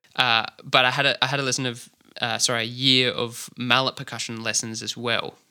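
Bright and sharp in tone, a man with an Australian accent talks fairly quickly in a flat monotone. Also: medium pitch for a man. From Australia, Adelaide. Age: young. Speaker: drummer. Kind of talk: interview. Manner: hesitant, many fillers.

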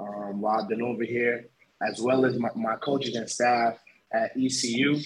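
A man with a New York accent at medium pitch, moderate pace and fairly even intonation. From Long Island, New York. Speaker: import football player. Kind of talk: casual interview. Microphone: echo in headphones.

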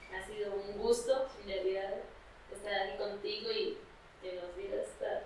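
A woman talks fairly slowly, with audible room echo and noticeable noise in the background. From Colombia, Líbano (Tolima). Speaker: podcast host. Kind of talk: interview.

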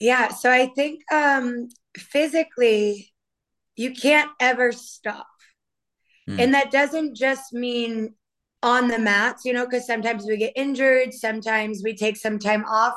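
A woman with an American accent speaks in a high voice at a fairly slow pace. Her intonation is fairly even, and the background is quiet. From Maine, US. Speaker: Brazilian jiu-jitsu champion and strength coach. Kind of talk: casual interview chat.

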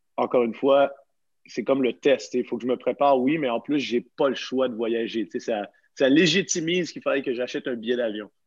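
Over a quiet background, a man in a plain, everyday voice speaks at a fairly quick pace with ordinary pitch variation. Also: medium pitch for a man. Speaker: podcast host, CrossFit coach. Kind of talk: casual chat.

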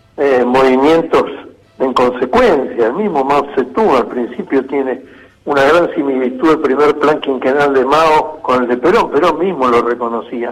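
The man's fairly high voice moves at a moderate pace, showing ordinary pitch variation, while noticeable background noise sits behind him. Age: 70s. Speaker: political activist. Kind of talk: interview.

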